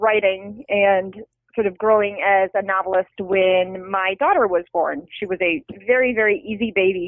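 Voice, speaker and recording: Here a woman has a normal speaking voice at a medium pitch. She goes at a fairly slow pace. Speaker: novelist. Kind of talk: interview conversation.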